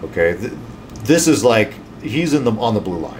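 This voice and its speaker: A man talks at a moderate pace over light background noise. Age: 50s. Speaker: emergency physician. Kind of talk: health talk to camera. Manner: casual, with fillers. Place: office. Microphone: studio mic.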